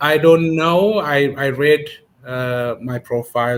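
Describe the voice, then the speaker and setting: A man speaks at a very slow pace with ordinary pitch variation. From Ethiopia. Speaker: immigration paralegal. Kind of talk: interview. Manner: hesitant, many fillers.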